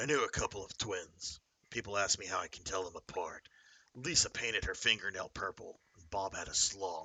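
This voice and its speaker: A man puts on a gruff character voice at a moderate pace. His loudness swings widely. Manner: gruff, swaggering, butchered impression.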